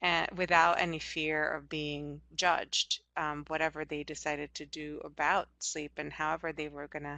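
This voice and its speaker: At a moderate pace, a woman is talking. Her pitch is very deep and low. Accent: Hungarian. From Hungary. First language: Hungarian. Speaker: anthropologist. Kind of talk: interview.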